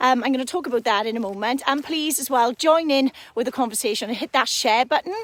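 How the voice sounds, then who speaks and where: A woman speaks with a slight Welsh accent at a high pitch and ordinary pitch variation. Noticeable background noise runs underneath. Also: dry, close sound with no echo. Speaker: fitness coach. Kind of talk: live stream talk to viewers. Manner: casual, hesitant fillers.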